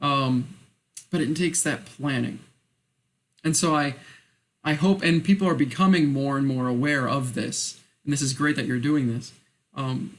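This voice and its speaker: Speaking at a moderate pace, a man with a fairly high pitch and ordinary pitch variation leaves long, frequent pauses. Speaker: college music student. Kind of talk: interview. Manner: soft-spoken.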